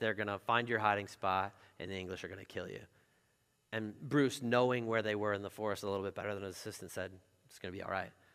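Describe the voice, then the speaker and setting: Talking at a very fast pace, a man with a fairly low pitch and a bright, sharp tone keeps a fairly even intonation while his loudness swings widely. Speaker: pastor. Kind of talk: sermon. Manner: casual, conversational.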